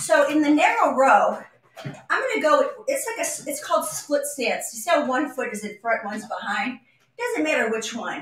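A woman talks in a high voice with an upbeat tone and very wide pitch swings, at a moderate pace. Light background noise and audible room echo are present. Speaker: fitness instructor. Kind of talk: live guided workout, instructing and counting reps. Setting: live video stream from home, exercising on vibration platform. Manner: upbeat, encouraging, clear coaching cues; conversational, with filler pauses. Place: empty room. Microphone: camera far.

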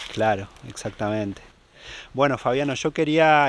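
In a normal speaking voice, a man talks at a moderate pace with ordinary pitch variation and a dry sound with no echo. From Argentina. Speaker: YouTuber travel vlogger. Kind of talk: vlog narration; interview. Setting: outdoors.

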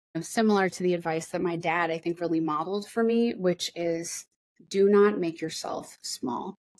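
A woman's fairly low voice at a moderate pace with ordinary pitch variation, against a quiet background. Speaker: politician interviewed remotely. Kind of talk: interview answer. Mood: earnest, encouraging. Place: office. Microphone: webcam.

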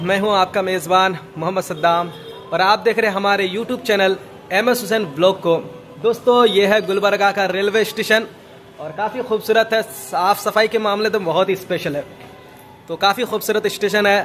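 With light background noise, a man speaks at a moderate pace in a high voice with fairly even intonation. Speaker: travel vlogger. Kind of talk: casual vlog chat. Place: station. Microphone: phone near.

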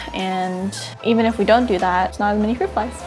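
With clear music in the background, a woman talks at a fairly quick pace with fairly even intonation. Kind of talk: casual cooking tutorial chat. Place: kitchen.

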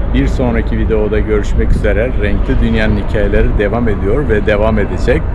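Loud background noise runs beneath a man talking at a moderate pace. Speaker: vlogger. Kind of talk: walking tour vlog, casual guided commentary to camera. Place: street. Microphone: phone near.

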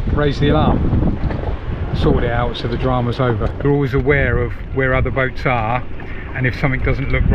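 Fairly quick speech in a dry sound with no echo, over loud background noise. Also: man. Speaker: liveaboard sailor vlogger. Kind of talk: casual vlog chat. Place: boat. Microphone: phone near.

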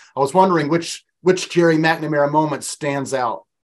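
A man speaks with a fairly high pitch. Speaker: sports podcast host. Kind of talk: interview. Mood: friendly, warm. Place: home room. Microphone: webcam.

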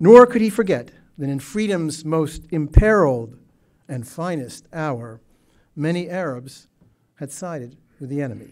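Against a quiet background, a man speaks at a fairly slow pace and fairly high pitch, with lively intonation and long, frequent pauses. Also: big swings in loudness. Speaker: Middle East historian. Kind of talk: prepared speech. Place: hall. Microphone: podium.

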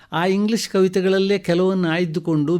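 This man has a high-pitched voice. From Kasaragod, Kerala-Karnataka border. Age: 70s. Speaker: retired professor and writer. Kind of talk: radio interview.

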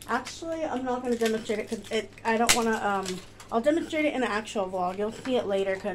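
A woman rushes along at a very fast pace with ordinary pitch variation, noticeable background noise behind her. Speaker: vlogger. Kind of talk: casual haul vlog chat. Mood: cheerful, chatty. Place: kitchen. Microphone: phone near.

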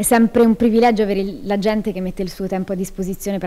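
A woman speaks at a very fast pace in a dark, mellow tone with fairly even intonation. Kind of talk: interview answer. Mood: grateful, warm. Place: hall. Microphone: handheld.

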